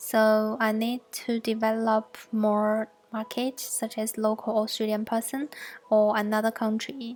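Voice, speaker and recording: A woman with a Mandarin accent, fairly high in pitch, monotone and flat in intonation, at a fairly slow pace. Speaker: fashion student and designer. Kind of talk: class presentation.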